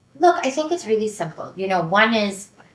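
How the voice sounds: Over audible room echo, a woman with an American accent and a fairly bright tone speaks at a fairly quick pace with big pitch swings. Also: medium pitch for a woman.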